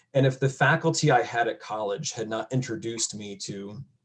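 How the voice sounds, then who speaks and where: A man speaks at a moderate pace with an American accent. He has an unremarkable speaking voice and ordinary pitch variation. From upstate New York (near Syracuse). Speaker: college educator. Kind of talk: panel discussion.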